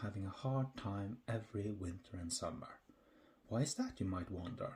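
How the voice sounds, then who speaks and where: A man's somewhat breathy voice with a Norwegian accent, a dark, mellow tone, ordinary pitch variation and a moderate pace. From Norway. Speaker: podcast host. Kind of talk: humorous educational podcast narration. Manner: dry, humorous.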